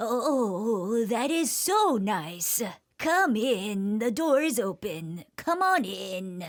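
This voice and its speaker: Using a put-on character voice, a woman speaks at a very slow pace with a fairly high pitch and very wide pitch swings. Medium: read story.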